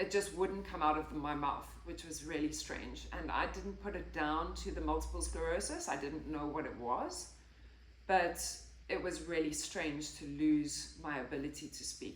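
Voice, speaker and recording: At a moderate pace, a woman is speaking. Audible room echo and noticeable background noise come through. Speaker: health and lifestyle vlogger. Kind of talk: personal testimony. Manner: occasional stutter and word-finding pauses.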